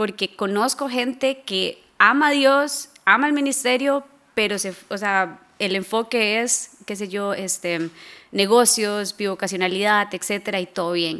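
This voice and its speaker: A woman with a Costa Rican accent talks at a fairly slow pace. Her pitch is medium, with ordinary pitch variation. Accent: Costa Rican, notably the R. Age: 20s. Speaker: missions fundraising coordinator. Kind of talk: interview conversation. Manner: hesitant, many fillers.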